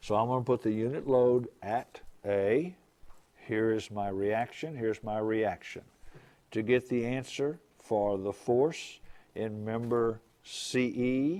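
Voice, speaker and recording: Speaking at a very slow pace, a man with a dark, mellow tone keeps to a medium pitch with ordinary pitch variation. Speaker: engineering professor. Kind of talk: lecture.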